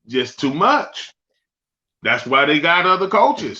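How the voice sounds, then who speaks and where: With a raised, projected voice, a man speaks at a fairly slow pace in a high pitch and a bright, sharp tone. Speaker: former pro football player, podcast guest. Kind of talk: casual chat. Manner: passionate.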